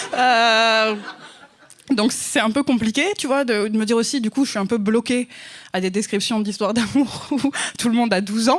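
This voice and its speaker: A woman's fairly high voice with fairly even intonation and long, frequent pauses, over noticeable background noise. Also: moderate pace. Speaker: novelist. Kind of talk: casual chat. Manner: hesitant, many fillers.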